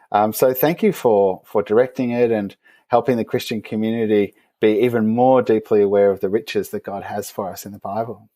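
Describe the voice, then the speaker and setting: A man with an Australian accent, medium in pitch and dark and mellow in tone, at a fairly quick pace with fairly even intonation, on a very clean recording with a silent background. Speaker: theologian. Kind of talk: interview.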